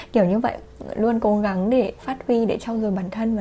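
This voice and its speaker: Against noticeable background noise, a woman speaks at a moderate pace with a fairly high pitch and fairly even intonation. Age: 20s. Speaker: podcast host. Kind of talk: personal monologue.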